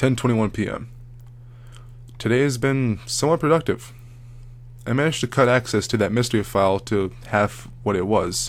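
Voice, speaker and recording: The speech moves at a moderate pace with ordinary pitch variation and vocal fry. Long pauses come often. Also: man, medium pitch for a man. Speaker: creepypasta narrator. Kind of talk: horror story narration.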